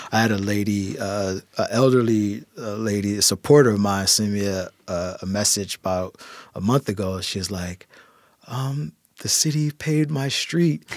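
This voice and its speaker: An unremarkable speaking voice with an American accent, a moderate pace and ordinary pitch variation. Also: man. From Philadelphia, US. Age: 30s. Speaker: city councilman. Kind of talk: interview.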